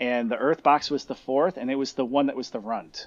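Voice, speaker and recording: A man talks at a moderate pace and medium pitch with ordinary pitch variation. The background is quiet and the sound dry and close, with no echo. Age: 40s. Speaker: cannabis grower. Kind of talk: casual chat.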